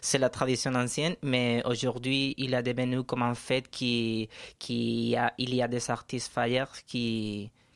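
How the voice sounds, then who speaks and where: Very clean and silent in the background, the recording features a man. He speaks fairly slowly in a monotone, flat intonation. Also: medium pitch for a man. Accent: Spanish. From Spain, Valencia. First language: Spanish (speaking French). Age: 30s. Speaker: radio guest. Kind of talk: casual interview. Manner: halting.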